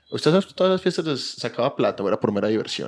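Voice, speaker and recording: Speaking at a moderate pace with an Antioquian accent, the voice comes through on a very clean recording with a silent background. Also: man. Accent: Colombian paisa Spanish. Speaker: podcast co-host. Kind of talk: casual chat.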